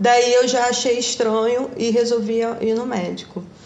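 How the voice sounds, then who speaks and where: At a fairly slow pace, a woman speaks with a fairly high pitch amid noticeable background noise and audible room echo. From Brazil, Rio de Janeiro state (Valença). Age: 40s. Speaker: physiotherapist, cancer survivor. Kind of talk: interview, personal testimony.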